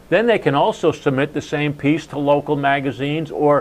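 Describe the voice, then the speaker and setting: With an American accent and fairly even intonation, a man speaks at a fairly high pitch and a moderate pace over noticeable background noise. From New Jersey. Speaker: sales and marketing speaker. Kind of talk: casual chat.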